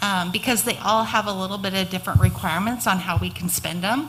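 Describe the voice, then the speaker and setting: With noticeable background noise, a woman speaks at a medium pitch and a fairly quick pace. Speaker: school district finance officer. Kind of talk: budget presentation.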